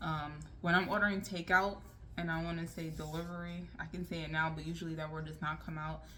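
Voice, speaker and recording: Speaking quietly at a moderate pace, a woman is heard with audible room echo. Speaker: lifestyle vlogger. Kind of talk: casual advice vlog.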